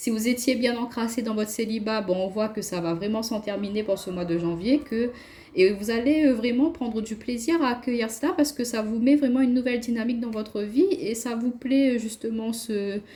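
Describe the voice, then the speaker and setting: Ordinary pitch variation comes through over noticeable background noise. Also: woman, fairly high pitch for a woman. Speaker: tarot card reader. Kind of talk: tarot reading. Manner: fast.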